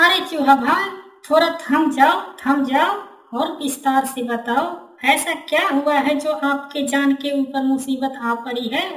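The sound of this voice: This is a high-pitched, cartoonish character voice. It moves at a moderate pace.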